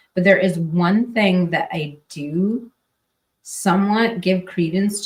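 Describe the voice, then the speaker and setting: A somewhat breathy woman with an American accent at a very slow pace. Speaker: true crime podcaster. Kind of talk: casual live stream chat. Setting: live stream. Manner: mumbling; hesitant, filler-heavy.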